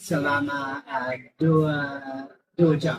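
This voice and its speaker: A man speaks at a very slow pace. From Perth, Western Australia. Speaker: Indonesian language learner. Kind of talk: casual chat. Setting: coffee shop. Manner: halting, many fillers.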